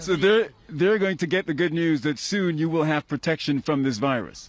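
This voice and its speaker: A man with a plain, everyday voice, fairly high pitch, ordinary pitch variation and a moderate pace. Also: very even loudness. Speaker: news reporter. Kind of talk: live TV news report.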